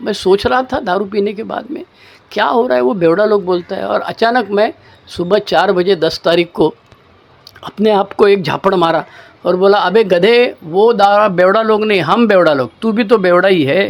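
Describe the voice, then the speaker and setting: Behind the speech there is noticeable background noise, and the pitch varies in an ordinary way. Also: man, high pitch for a man. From Maharashtra, India. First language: Marathi (speaking Hindi). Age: 60s. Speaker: recovering alcoholic sharing story. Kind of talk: testimony. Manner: casual, colloquial.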